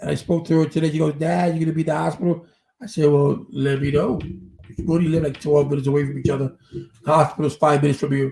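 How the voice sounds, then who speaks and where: A very fast, somewhat breathy male voice with an American accent, fairly high in pitch, dark and mellow in tone, with ordinary pitch variation. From New York. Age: 50s. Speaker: live streamer. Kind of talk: casual live stream commentary. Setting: live stream.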